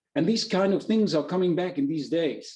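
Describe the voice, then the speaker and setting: A man with a German accent speaks at a high pitch in a dark, mellow tone. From Germany. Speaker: chef. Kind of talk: webinar presentation. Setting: online webinar. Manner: halting, with fillers.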